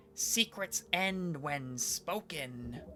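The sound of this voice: A hoarse, put-on character voice at a middle pitch is heard over clear background noise.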